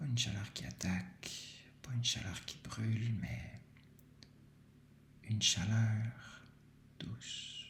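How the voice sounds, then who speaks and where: A man speaks very slowly with a Quebec accent. His fairly low voice carries vocal fry. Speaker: meditation guide. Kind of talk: guided sleep meditation. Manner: soft-spoken, slow.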